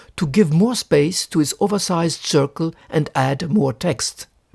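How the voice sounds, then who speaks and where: Lively in intonation, a man with a French accent speaks at a high pitch and moderate pace, the sound dry and close with no echo. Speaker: book collector. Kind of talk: lecture.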